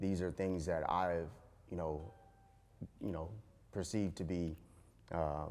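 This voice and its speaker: Very deep and low, a man's voice with an American accent moves at a fairly slow pace with fairly even intonation and long, frequent pauses. Audible room echo surrounds it. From Compton, California. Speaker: hospital physician. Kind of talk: interview.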